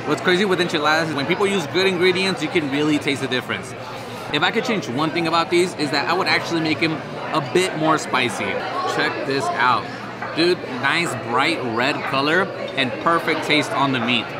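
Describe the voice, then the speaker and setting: A man talking at a fairly quick pace with ordinary pitch variation over loud background noise. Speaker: food vlogger. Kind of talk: casual vlog chat. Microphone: phone near.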